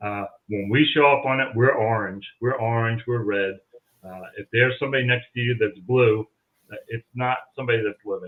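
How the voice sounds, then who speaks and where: With a normal speaking voice, a man speaks at medium pitch and a moderate pace, his intonation fairly even but his loudness swinging widely. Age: 60s. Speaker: paranormal investigator. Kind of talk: casual chat.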